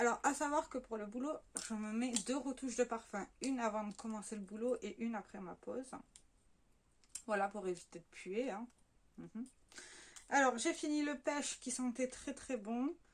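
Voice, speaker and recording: At a moderate pace, a woman talks in a high pitch with ordinary pitch variation and long, frequent pauses. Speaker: beauty vlogger. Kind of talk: casual product review vlog. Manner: chatty with many fillers.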